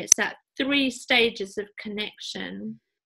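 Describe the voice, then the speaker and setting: A woman with a British accent speaks at a fairly slow pace and fairly high pitch. Her tone is bright and sharp, and her intonation is fairly even. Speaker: podcast host. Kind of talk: podcast interview host talk.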